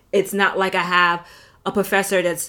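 A woman talks at medium pitch with a New York accent. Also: very clean recording, silent background. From New York, South Bronx. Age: 30s. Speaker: podcast host. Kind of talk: solo podcast monologue.

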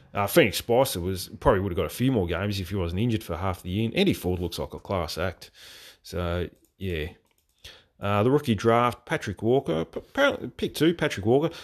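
Someone with an Australian accent talks at a fairly quick pace with lively intonation on a very clean recording with a silent background. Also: man, fairly low pitch for a man. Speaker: football podcast host. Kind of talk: solo podcast commentary. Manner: hesitant, many fillers.

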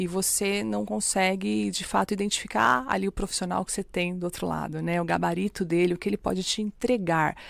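On a very clean recording with a silent background, a woman with an unremarkable speaking voice talks at a fairly quick pace, medium in pitch with ordinary pitch variation. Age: 40s. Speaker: bank executive and tutor. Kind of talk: podcast interview.

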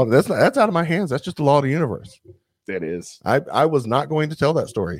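Over a silent background in a very clean recording, a man with a strong Southern US accent races at a very fast pace, with lively intonation and vocal fry. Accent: thick Southern US. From US South. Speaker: podcast co-host. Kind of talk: casual chat.

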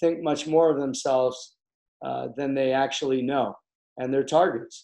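A man with an American accent speaks at a fairly slow pace, his fairly high voice carrying a dark, mellow tone and monotone, flat intonation. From US Midwest, Chicago. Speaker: facial plastic surgeon. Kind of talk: interview.

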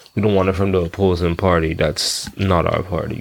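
This man talks at a moderate pace with a Bahamian accent and a very deep, low pitch. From Bahamas. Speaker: podcaster. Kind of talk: casual monologue. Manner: halting, stutters often.

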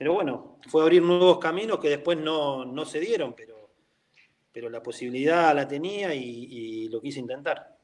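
A man with a plain, everyday voice speaks at a moderate pace in a fairly high pitch, with ordinary pitch variation and big swings in loudness. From Argentina, La Plata. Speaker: former professional footballer. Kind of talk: interview. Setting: call.

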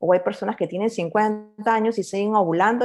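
Over music in the background, a woman with a Peruvian accent speaks at a moderate pace with ordinary pitch variation. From Peru, Lima. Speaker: economist and entrepreneur. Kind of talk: interview.

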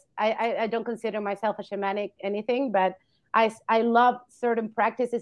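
With a Spanish accent, a woman talks at a moderate pace in a fairly high pitch. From Argentina. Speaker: veterinarian. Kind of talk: interview.

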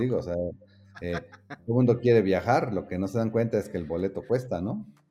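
Music plays in the background as a man speaks at a very fast pace. His pitch varies in an ordinary way. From Mexico, Oaxaca. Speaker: graphic design studio director. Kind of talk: casual interview.

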